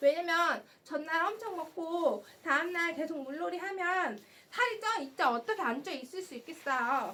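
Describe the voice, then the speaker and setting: A woman with an extremely high pitch and very wide pitch swings, animated and bright, sharp in tone, her voice raised and projected, big swings in loudness, a fairly slow pace and hardly any pauses. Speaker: live shopping host. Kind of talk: live sales stream. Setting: live stream on camera.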